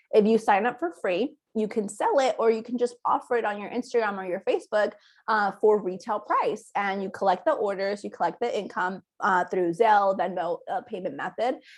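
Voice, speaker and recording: At a fairly quick pace, a woman talks in a fairly high pitch with ordinary pitch variation. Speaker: direct sales recruiter. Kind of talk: sales pitch. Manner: fast.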